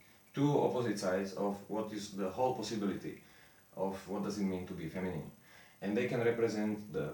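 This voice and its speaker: A man with a non-native accent speaks with ordinary pitch variation. Audible room echo and noticeable background noise are present. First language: not English. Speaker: esoteric lecturer. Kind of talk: lecture. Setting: improvised home studio in the mountains. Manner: halting.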